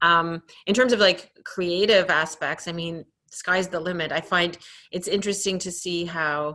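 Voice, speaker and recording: A woman speaks at a fairly low pitch with a Canadian accent. Her tone is bright and sharp, and her intonation fairly even. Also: moderate pace. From Canada. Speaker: fashion industry association president. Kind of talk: interview. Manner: hesitant, many fillers.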